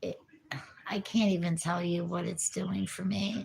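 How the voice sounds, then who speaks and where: Noticeable background noise runs under the recording. A woman speaks with an American accent. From New Jersey. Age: 50s. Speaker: recovering addict vlogger. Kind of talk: casual livestream chat. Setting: livestream.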